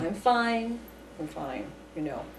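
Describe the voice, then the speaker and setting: A woman speaks with ordinary pitch variation, her voice carrying audible room echo over noticeable background noise. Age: 50s. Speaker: UFO researcher. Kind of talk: interview. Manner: halting.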